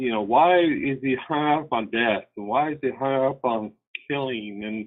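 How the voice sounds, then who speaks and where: An unremarkable speaking voice at a fairly slow pace, with ordinary pitch variation. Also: man, medium pitch for a man. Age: 60s. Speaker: caller. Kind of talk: call-in comment. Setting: phone call.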